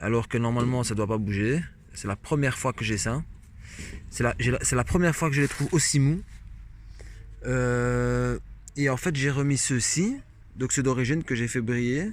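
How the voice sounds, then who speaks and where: A man's fairly slow delivery with a slight Belgian accent, ordinary pitch variation and long, frequent pauses. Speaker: moped hobbyist vlogger. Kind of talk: unboxing video. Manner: hesitant, many fillers.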